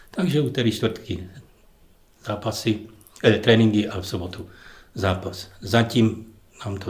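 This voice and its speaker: A man with a fairly low pitch speaks at a fairly slow pace, somewhat breathy. Long, frequent pauses break up his speech, and there is audible room echo. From Ostrava, Czechia. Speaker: retired footballer. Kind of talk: casual interview. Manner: halting.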